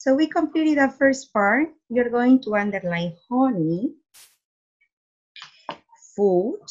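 A woman speaks at a very slow pace. Her pitch swings very widely against a quiet background. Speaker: teacher. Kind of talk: reading lesson for children. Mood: warm, encouraging. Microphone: webcam.

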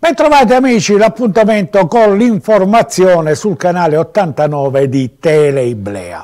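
Against a quiet background, a man with a high pitch speaks at a fairly slow pace with very wide pitch swings and hardly any pauses. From Sicily. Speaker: local TV news commentator; local TV commentator. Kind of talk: TV news commentary; news commentary. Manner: conversational, hesitant with fillers. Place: studio. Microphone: lapel.

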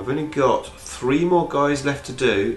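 A man speaks at a fairly slow pace in a fairly high voice. Audible room echo and light background noise are present. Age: 40s. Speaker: YouTuber, miniature painter; YouTuber. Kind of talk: casual vlog.

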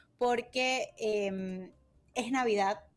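A woman at a very slow pace, with ordinary pitch variation. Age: 30s. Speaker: radio co-host; radio program host. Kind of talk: casual chat; news reading. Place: home room.

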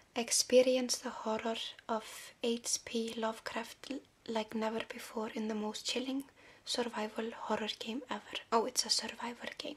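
Soft-spoken and fairly high-pitched, a woman talks at a moderate pace in a monotone with flat intonation. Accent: Icelandic. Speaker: ASMR creator. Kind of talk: ASMR video. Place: home room.

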